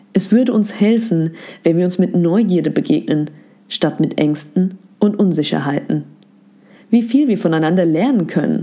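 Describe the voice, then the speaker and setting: Her voice is dark and mellow at a medium pitch, and this woman keeps a moderate pace and lively intonation, with very even loudness and long, frequent pauses. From Germany. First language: Turkish (speaking German). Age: 20s. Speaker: psychology content creator, educator. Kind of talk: scripted narration.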